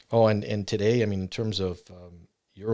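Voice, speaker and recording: With a Canadian accent, a man speaks at a moderate pace in a dark, mellow voice with flat, monotone intonation. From Canada, Ontario. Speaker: bereaved father. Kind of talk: interview. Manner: halting.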